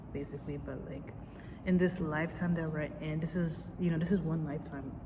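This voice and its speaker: Amid audible room echo and noticeable background noise, a woman speaks in a flat monotone at a very deep, low pitch. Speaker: vlogger. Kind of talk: casual confessional monologue. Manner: rambling, halting.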